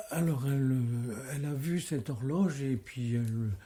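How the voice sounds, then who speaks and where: A man speaks very slowly at a medium pitch, somewhat breathy. His tone is dark and mellow on a very clean recording with a silent background. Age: 80s+. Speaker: street theatre director. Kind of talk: interview. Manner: halting.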